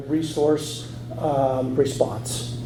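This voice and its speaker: Noticeable background noise and audible room echo surround this man's speech. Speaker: conference speaker. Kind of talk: lecture. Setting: stage with audience. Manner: halting.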